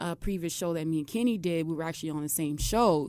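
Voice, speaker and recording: With an American accent, a woman speaks fairly quickly at a fairly low pitch. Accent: New York accent with slight Southern touch. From Brooklyn, New York. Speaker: professional wrestler. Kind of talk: radio interview. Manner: animated, quoting dialogue.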